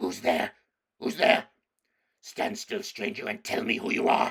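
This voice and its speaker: A man's put-on character voice, growling and raspy, high-pitched, raised and projected, at a moderate pace. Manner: menacing, demanding.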